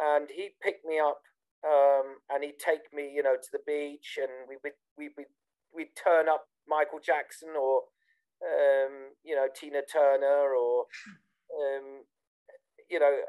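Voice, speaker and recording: With a British accent and a fairly high pitch, a man speaks at a fairly slow pace in a monotone, flat intonation, leaving long, frequent pauses, the sound dry and close with no echo. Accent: very British. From southern England, Bournemouth. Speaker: techno DJ. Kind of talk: interview. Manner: hesitant, many fillers.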